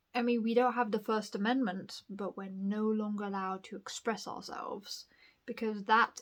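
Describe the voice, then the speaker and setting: Speaking with a southern English accent, a woman holds a fairly high pitch in a flat, monotone intonation. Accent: posh southern English picked up. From northern England, Bradford. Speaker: vlogger. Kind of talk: casual monologue. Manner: rambling, hesitant.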